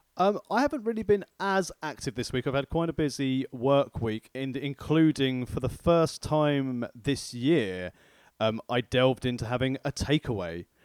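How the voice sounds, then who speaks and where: A man with a southern English accent speaks at a moderate pace in a medium pitch, his intonation lively, on a very clean recording with a silent background and a dry, close sound with no echo. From southeast England. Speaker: food podcast co-host. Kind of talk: casual chat.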